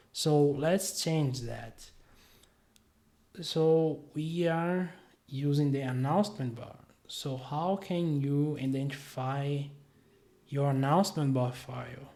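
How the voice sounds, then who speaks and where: A man's fairly high, dark and mellow voice at a very slow pace, with long, frequent pauses and audible room echo. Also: ordinary pitch variation. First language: not English. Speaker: web developer, tutorial creator. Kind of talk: screen-share tutorial. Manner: hesitant, many fillers.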